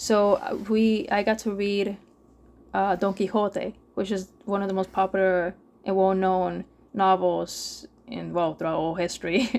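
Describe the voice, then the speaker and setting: A woman speaks with a Spanish accent at a medium pitch. Her pace is fairly slow and her intonation fairly even. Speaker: gaming podcast co-host. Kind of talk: casual chat. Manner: halting, many false starts.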